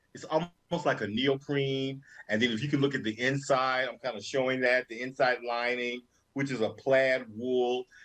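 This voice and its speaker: A man with an American accent, medium in pitch, monotone and flat in intonation, at a moderate pace. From North Carolina. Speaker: fashion show co-host. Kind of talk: casual chat.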